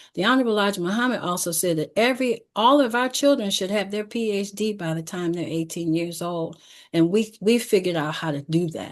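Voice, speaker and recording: This woman has an unremarkable speaking voice at medium pitch with ordinary pitch variation. She barely pauses, and the background is quiet. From Detroit, Michigan, US. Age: 60s. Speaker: educator. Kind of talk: closing announcements; presentation with slides.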